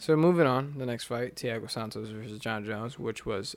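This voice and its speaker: This man has an ordinary speaking voice with an American accent and medium pitch. He talks at a moderate pace with ordinary pitch variation. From US, urban neighborhood. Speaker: podcast co-host. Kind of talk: casual chat.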